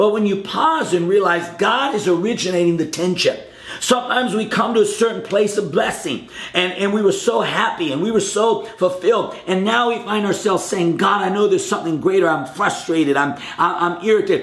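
A man with a high-pitched voice speaks at a fairly quick pace with ordinary pitch variation. Music plays in the background, and the room echo is audible. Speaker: preacher. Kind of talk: short sermon to camera. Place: home room.

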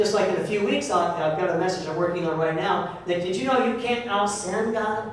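A man speaks at a high pitch. Strong room echo and light background noise surround him. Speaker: pastor. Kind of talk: sermon. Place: church.

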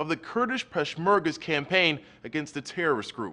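A man talks at a fairly quick pace. His tone is bright and sharp. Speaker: news reporter. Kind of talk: news report narration. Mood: serious, measured. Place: studio.

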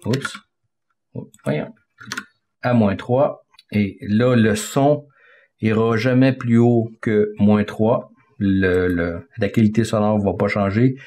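With a dark, mellow tone and fairly low pitch, a man talks at a very slow pace, leaving long, frequent pauses. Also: ordinary pitch variation. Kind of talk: tutorial. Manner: halting, with repeated words and fillers.

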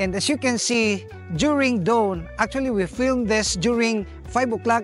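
Faint music sits in the background while a man talks at a fairly slow pace in a dry sound with no echo. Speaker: farm owner vlogger. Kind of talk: casual vlog chat. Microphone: lapel.

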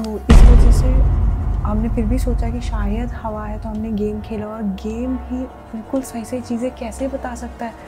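A woman speaks over clear music in the background. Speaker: vlogger. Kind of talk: casual vlog chat. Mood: scared, hushed. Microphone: camera far.

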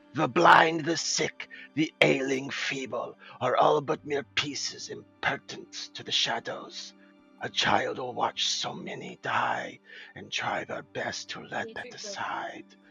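A man's raspy, put-on character voice at a fairly slow pace, with big swings in loudness and music in the background. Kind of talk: dramatic prophecy reading.

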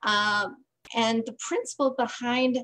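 A high-pitched woman with an American accent and fairly even intonation. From Green Bay, Wisconsin; Wisconsin. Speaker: voting advocacy group organizer; presenter. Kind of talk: presentation. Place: home room. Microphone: video call.

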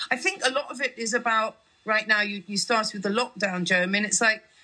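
Against a quiet background, a woman talks with lively intonation. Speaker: comedian and founder of a comedy writing prize. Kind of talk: radio interview, conversational. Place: studio. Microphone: studio mic.

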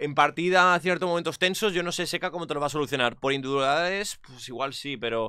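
A man speaks at a fairly quick pace with hardly any pauses, in a fairly high pitch with ordinary pitch variation and a bright, sharp tone. The background is quiet and the sound is dry, with no echo. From Spain. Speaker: esports commentator. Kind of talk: casual chat. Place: home room. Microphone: studio mic.

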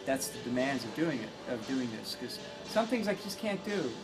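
Clear music in the background behind a man talking at a moderate pace. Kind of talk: interview answer. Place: workshop.

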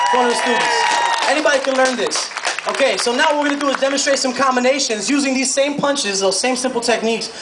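With crowd noise behind him, a man talks at a very fast pace. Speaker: boxing instructor. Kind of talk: live demonstration instruction. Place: stage.

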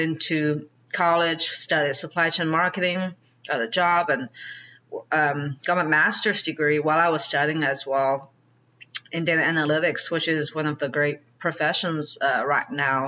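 With a Chinese accent, a woman talks at a fairly slow pace in a very deep, low voice, with fairly even intonation, very even loudness and long, frequent pauses. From China. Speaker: real estate investor; podcast guest. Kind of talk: interview. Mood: calm, reflective. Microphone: video call.

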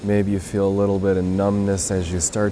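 Noticeable background noise accompanies a man with a very deep, low pitch and a monotone, flat intonation. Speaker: meditation guide. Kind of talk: guided meditation. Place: beach.

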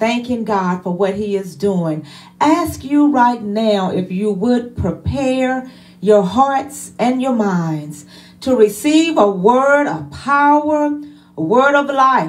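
The voice moves at a very slow pace with very wide pitch swings. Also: woman, fairly high pitch for a woman. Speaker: church minister introducing the preacher. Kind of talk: worship service opening welcome and introduction. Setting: church service livestreamed online. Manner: fervent, punctuated with hallelujahs. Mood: warm, fervent.

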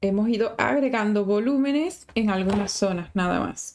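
A woman speaks in a warm tone with ordinary pitch variation over light background noise. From Venezuela. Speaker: sculpting teacher. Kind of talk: live-stream tutorial. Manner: chatty, warm. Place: home room.

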